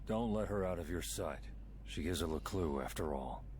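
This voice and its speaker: A man puts on a character voice with a very deep, low pitch and very even loudness at a moderate pace. Clear background noise runs behind him. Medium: video game. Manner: terse, gruff.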